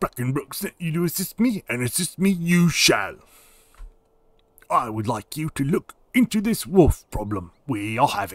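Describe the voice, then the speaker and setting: At a moderate pace, a man in a put-on character voice sweeps through very wide pitch swings. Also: fairly high pitch for a man. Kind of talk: formal, old-fashioned.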